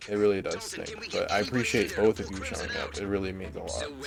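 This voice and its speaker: Noticeable background noise sits under a man speaking at a very fast pace with an American accent. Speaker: gaming streamer. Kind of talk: live stream gameplay chat. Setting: home living room. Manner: casual, conversational.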